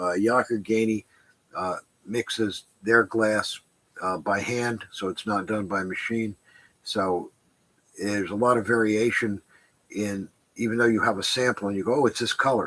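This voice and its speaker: Mumbling at a moderate pace, a man with a fairly low pitch keeps his intonation fairly even and pauses often and at length. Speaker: stained glass shop owner. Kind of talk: live stream Q&A. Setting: live stream from shop.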